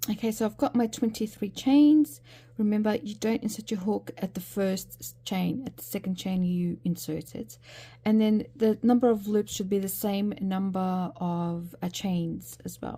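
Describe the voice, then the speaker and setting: A woman speaks at a medium pitch and a moderate pace. Her voice is somewhat breathy, with a dark, mellow tone. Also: ordinary pitch variation. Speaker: crochet tutor. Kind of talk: tutorial. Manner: hesitant with many fillers.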